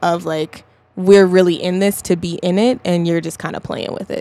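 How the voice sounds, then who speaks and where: A woman with an American accent speaks at a moderate pace. Her medium-pitched voice stays monotone and flat. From US West (Colorado). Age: 20s. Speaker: singer-songwriter. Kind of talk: casual chat. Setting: studio.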